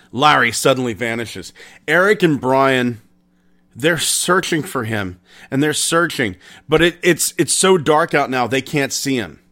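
A man at medium pitch uses a bright, sharp tone and lively intonation. He goes at a fairly slow pace on a very clean recording with a silent background. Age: 40s. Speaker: paranormal podcast host. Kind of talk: storytelling. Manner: casual.

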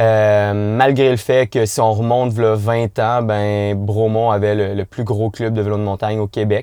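A man speaks at a fairly slow pace with hardly any pauses, his tone dark and mellow and his pitch fairly low. His intonation stays monotone and flat over a very clean recording with a silent background. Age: 20s. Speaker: mountain bike coach. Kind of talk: podcast interview.

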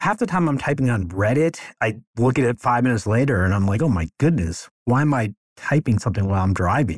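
At a fairly quick pace, a somewhat breathy man's voice swings very widely in pitch, dry and close with no echo on a very clean recording with a silent background. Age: 50s. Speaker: law school admissions consultant. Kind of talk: solo podcast monologue. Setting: office. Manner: unscripted, conversational.

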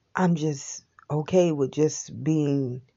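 A woman talks with fairly even intonation. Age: 40s. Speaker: wellness vlogger. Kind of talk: personal reflection monologue. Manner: halting.

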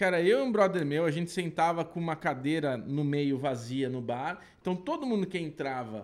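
Speaking at a moderate pace with hardly any pauses, a man with a fairly high pitch and lively intonation has a normal speaking voice. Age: 40s. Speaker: podcast co-host. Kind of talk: casual chat.

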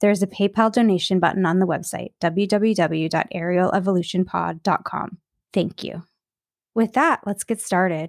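In a very clean recording with a silent background and a dry, close sound free of echo, a woman with a normal speaking voice talks at a moderate pace and medium pitch, her intonation fairly even. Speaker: podcast host. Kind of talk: interview, podcast conversation.

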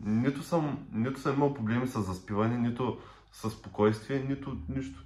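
Medium in pitch and somewhat breathy, the man's voice shows ordinary pitch variation. He speaks at a moderate pace. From Bulgaria, Popovo (Targovishte). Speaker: podcast co-host. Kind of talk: casual chat.

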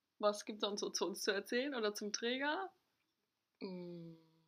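A woman talks at a medium pitch. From northern Germany, Ostholstein. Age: 20s. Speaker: family support social worker. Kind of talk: casual chat.

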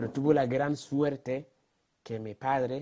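A fairly slow pace in a man's dark, mellow voice. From Ghana. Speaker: social entrepreneur. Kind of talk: interview.

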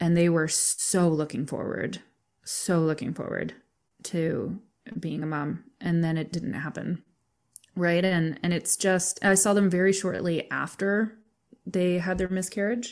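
Speaking at a fairly slow pace in an ordinary speaking voice, a woman with a fairly low pitch keeps a fairly even intonation in a very clean recording with a silent background. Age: 30s. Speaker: massage therapist and death doula. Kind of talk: casual interview.

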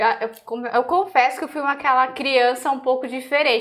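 This woman's voice is high in pitch. Her pitch varies in an ordinary way. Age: 30s. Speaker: pastry chef and co-host. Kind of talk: casual chat.

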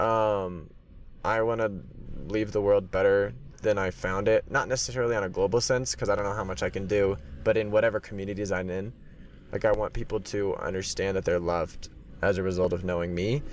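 A plain, everyday voice from a fairly low-pitched man with an American accent, at a fairly quick pace with ordinary pitch variation. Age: 20s. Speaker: graduate student. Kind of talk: interview.

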